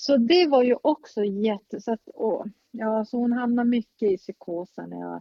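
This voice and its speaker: Her pitch shifts an ordinary amount. This woman talks very slowly. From northern Sweden, Norrbotten. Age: 50s. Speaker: relative of a mentally ill parent. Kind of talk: interview.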